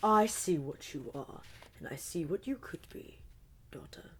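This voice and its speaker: Using a put-on character voice, a woman speaks at a fairly low pitch with very wide pitch swings and big swings in loudness. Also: moderate pace. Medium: read story. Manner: cold, imperious.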